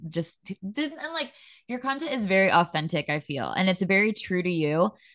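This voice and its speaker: A woman speaks in a fairly low pitch. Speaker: podcast host. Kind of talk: casual chat. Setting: virtual studio. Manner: warm, upbeat.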